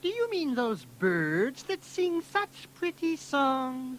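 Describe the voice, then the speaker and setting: A loud, high, female-sounding put-on character voice with very wide pitch swings at a very slow pace, over clear background noise. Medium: read story. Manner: loud, hearty.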